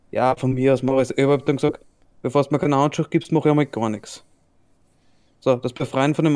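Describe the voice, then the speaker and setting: A man talks very fast in an Austrian accent with a fairly high pitch and a dark, mellow tone, monotone and flat. The recording is very clean, with a silent background. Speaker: podcast host. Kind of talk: casual chat.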